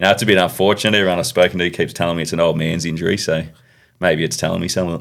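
An Australian man talks at a very fast pace. His pitch is very deep and low, with fairly even intonation. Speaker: professional cricketer. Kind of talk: podcast interview.

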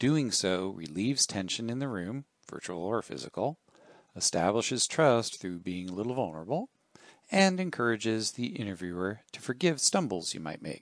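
A man's normal speaking voice at a moderate pace, lively intonation, dry and close with no echo. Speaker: career coach and tech columnist. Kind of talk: reading aloud a written column. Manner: measured, instructional.

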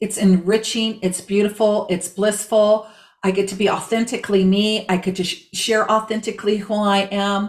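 A woman's somewhat breathy, medium-pitched voice at a moderate pace, with monotone, flat intonation. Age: 60s. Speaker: body language strategist, former real estate agent. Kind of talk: interview.

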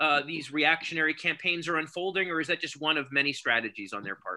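A high-pitched man with an American accent, a bright, sharp tone and a fairly quick pace. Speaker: show host and college teacher. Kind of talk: live-streamed panel discussion. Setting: video call.

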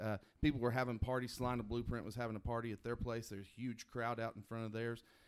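A man talks in a normal speaking voice at a medium pitch, his intonation fairly even. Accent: American. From Oklahoma. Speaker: podcast co-host. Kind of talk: casual chat.

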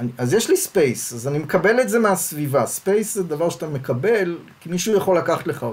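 Over noticeable background noise, a man with a high pitch and lively intonation talks very fast with hardly any pauses. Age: 60s. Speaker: sociology professor. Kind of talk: interview conversation.

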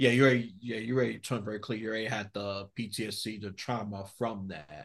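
In a quiet setting, a man with an American accent talks at a moderate pace and medium pitch in an unremarkable speaking voice. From New York. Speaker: podcast host. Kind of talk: interview.

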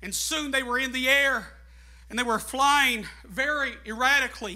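A man projects a raised voice at an extremely high pitch, with a bright, sharp tone and ordinary pitch variation. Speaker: guest preacher. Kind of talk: Pentecostal sermon, climactic call-and-response exhortation to the congregation; sermon illustration, storytelling. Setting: church with congregation. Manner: preaching at full volume, voice strained and going; fervent, shouting with rising, rhythmic repetition.

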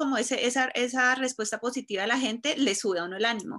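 A woman talks very fast in a high, bright, sharp voice. Her intonation is lively. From Colombia, Cúcuta. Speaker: fashion blogger. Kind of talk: interview.

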